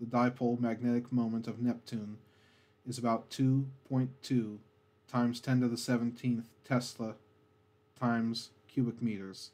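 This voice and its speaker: Soft-spoken and calm, a man talks at a moderate pace with a medium pitch and a flat monotone. His tone is dark and mellow. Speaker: ASMR narrator. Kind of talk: educational space facts narration, ASMR style. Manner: soft-spoken, calm.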